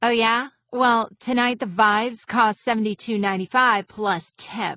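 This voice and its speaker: Putting on a character voice, a woman sounds raspy, her pitch fairly high and her intonation fairly even, at a moderate pace. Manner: sassy, bossy.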